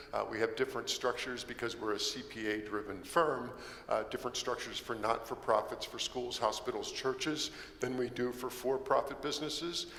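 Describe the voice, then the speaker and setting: A fairly quick pace and fairly even intonation against noticeable background noise. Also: man, medium pitch for a man. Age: 60s. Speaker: solar energy developer. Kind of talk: presentation.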